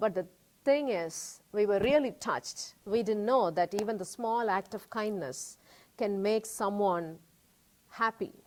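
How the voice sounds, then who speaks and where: A woman with a Tamil accent speaks with ordinary pitch variation. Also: medium pitch for a woman, fairly slow pace. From India. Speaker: cancer survivor and artist. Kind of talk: interview.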